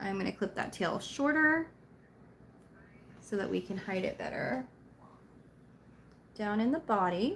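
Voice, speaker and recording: Quiet speech moves at a fairly slow pace. The intonation is lively. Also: woman. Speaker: crochet craft video maker. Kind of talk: craft tutorial livestream. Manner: casual, chatty.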